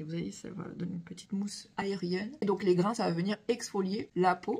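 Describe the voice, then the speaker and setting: This woman's voice sits at a medium pitch while she keeps a moderate pace. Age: 40s. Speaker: beauty product seller / vlogger. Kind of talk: product demo vlog. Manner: animated.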